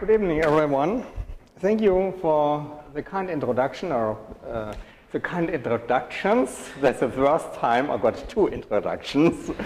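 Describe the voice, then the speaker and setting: Fairly slow, lively speech from a man with a German accent and a fairly high pitch. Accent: German accent, non-native English. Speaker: professor. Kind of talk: lecture. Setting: university lecture hall with audience.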